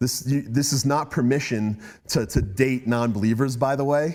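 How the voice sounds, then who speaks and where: A man with a medium pitch speaks in an animated tone. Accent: Boston. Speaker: guest speaker. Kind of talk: testimony. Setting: talk to students.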